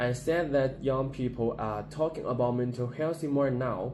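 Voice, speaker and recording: A man with a Chinese accent, audible room echo around his voice. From China, Gansu Province. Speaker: university student. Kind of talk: class presentation. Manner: halting, with repetitions.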